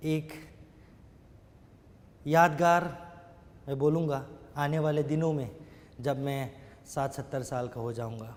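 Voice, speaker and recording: With long, frequent pauses, a man speaks at a fairly high pitch. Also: fairly even intonation. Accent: non-native. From Northeast India, Shillong, Meghalaya. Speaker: network marketing member. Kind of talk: testimony. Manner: halting, with fillers.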